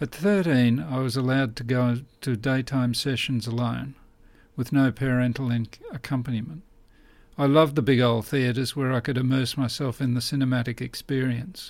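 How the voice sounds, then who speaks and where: With an Australian accent, a man of medium pitch speaks at a moderate pace. His intonation stays fairly even. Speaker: author and historian. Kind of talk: scripted narration.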